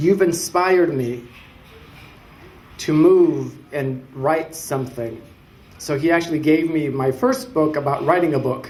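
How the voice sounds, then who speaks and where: A fairly high-pitched man with a Spanish accent, fairly slow and given to long, frequent pauses, with ordinary pitch variation and audible room echo. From Mexico, then Richmond, California from age 8. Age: 30s. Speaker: city council candidate. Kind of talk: public speech. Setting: symposium audience.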